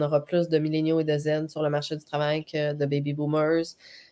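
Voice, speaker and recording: A woman with a Quebec accent and fairly low pitch at a fairly slow pace, in a very clean recording with a silent background. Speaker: HR trainer and coach. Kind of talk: live webcast discussion.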